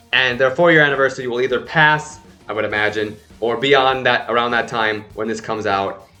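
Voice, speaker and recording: A man speaks at a fairly quick pace as music plays in the background. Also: medium pitch for a man. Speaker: K-pop reaction YouTuber. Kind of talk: casual vlog commentary. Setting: home apartment. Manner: loud; animated.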